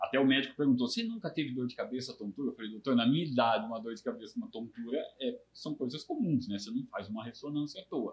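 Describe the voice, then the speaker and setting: Talking at a very fast pace with hardly any pauses, a man uses lively intonation in a somewhat breathy voice at medium pitch. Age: 60s. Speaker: brain tumor survivor, retired IT worker. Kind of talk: interview testimony.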